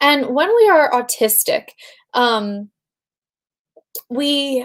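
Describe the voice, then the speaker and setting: Here is a woman with a high voice. Her intonation is lively. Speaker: life coach. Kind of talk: live stream talk. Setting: home, live video stream. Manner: halting.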